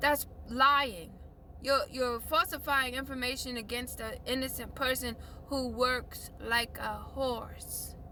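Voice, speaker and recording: Noticeable background noise runs under the recording. A woman speaks at a very slow pace. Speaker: life coach vlogger. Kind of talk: impassioned monologue rant.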